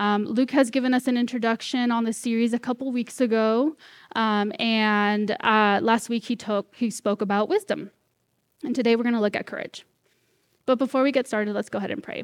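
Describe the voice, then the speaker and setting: In a very clean recording with a silent background and a dry, close sound with no echo, a woman with an American accent speaks at a fairly high pitch with fairly even intonation. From Northern California (Corning). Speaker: guest preacher. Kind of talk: sermon. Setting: church. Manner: fast.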